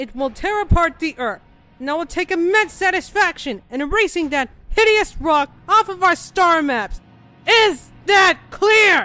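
In a put-on character voice, a woman speaks at an extremely high pitch and a moderate pace. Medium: voice reel. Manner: cold, commanding, angry.

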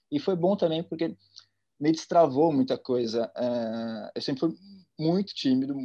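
Over a quiet background, a man speaks at a moderate pace with a fairly high pitch and a dark, mellow tone. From interior of São Paulo state, Brazil (Ribeirão Preto); São Paulo state, Brazil. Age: 30s. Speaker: art curator; interviewee. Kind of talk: casual interview. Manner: halting, with fillers. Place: home room. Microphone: video call.

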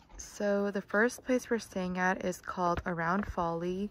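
A woman speaks fairly slowly with ordinary pitch variation. The sound is dry with no echo, and background noise is noticeable. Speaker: travel vlogger. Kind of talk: casual vlog chat. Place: open country. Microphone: phone near.

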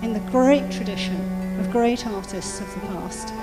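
Clear background music under a woman's very slow delivery. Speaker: charity speaker. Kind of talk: charity appeal speech at an event. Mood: earnest, inspiring. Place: hall. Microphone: handheld.

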